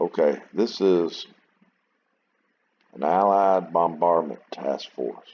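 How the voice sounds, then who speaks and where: Pausing long and often, a man with a very deep, low pitch speaks at a very slow pace with ordinary pitch variation. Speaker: wargame video creator. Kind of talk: gameplay commentary. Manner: casual, halting.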